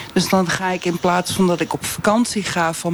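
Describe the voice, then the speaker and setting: A woman speaks with a fairly low pitch and fairly even intonation. Noticeable background noise is present. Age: 50s. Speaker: English teacher, flex worker. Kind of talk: live radio debate.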